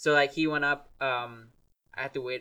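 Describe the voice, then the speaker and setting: A man with a Gujarati accent speaks in a monotone, flat delivery with a bright, sharp tone. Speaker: podcast guest, music maker. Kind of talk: casual chat.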